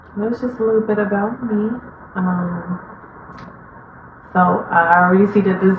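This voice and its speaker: A woman's voice with fairly even intonation, audible room echo and noticeable background noise. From Chicago, Illinois, US. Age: 20s. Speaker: vlogger. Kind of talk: casual personal monologue. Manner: many fillers and hesitations.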